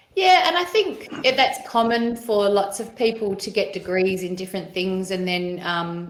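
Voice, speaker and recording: In an Australian accent, a woman of medium pitch speaks at a moderate pace with audible room echo. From Western Australia, Perth eastern suburbs. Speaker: educator and operations director. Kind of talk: podcast interview. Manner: halting, many fillers.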